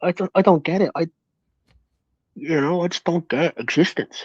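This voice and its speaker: A man at a moderate pace, dry and close with no echo, over a quiet background. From Ireland. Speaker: guest on a livestream talk show. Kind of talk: casual chat.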